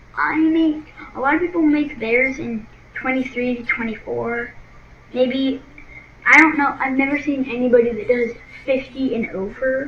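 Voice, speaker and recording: There is noticeable background noise as a woman with a high pitch speaks at a moderate pace with ordinary pitch variation. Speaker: gaming channel creator. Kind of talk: tutorial. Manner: halting.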